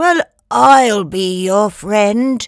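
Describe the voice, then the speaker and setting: A woman performs a put-on character voice at medium pitch. The recording is very clean, with a silent background. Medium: read story.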